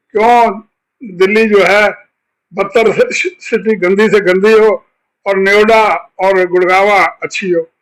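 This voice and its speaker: A man's high-pitched voice, monotone and flat, broken by long, frequent pauses. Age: 80s+. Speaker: political commentator. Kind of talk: interview.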